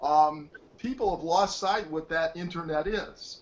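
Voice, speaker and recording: A man with an American accent, an ordinary speaking voice at a fairly high pitch with ordinary pitch variation. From Detroit, US Midwest. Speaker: wireless technologist. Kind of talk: interview. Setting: video call.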